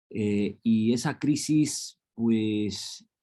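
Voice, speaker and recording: The speaker is a man with a dark, mellow tone. His pitch varies in an ordinary way. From Los Angeles, US. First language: English (speaking Spanish). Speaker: professor. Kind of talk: lecture. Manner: hesitant with frequent fillers.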